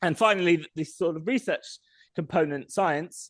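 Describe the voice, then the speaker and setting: Recorded with a dry, close sound and no echo, a man speaks with a British accent. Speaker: sustainable mobility researcher. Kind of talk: presentation with slides. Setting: public meeting. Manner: fast.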